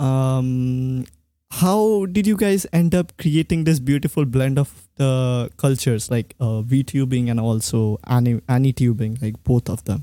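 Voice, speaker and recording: A man with an Indian accent speaks at a fairly slow pace in a medium pitch, his dark, mellow tone and lively intonation captured in a dry, close sound with no echo. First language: Bengali. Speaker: podcast host. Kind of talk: casual chat.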